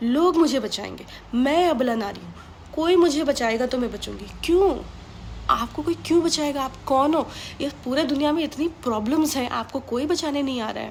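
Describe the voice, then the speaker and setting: A woman's high-pitched voice, with ordinary pitch variation and big swings in loudness, comes through noticeable background noise. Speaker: motivational speaker. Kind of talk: motivational talk. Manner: Hindi-English code-mixing; harsh, blunt tone.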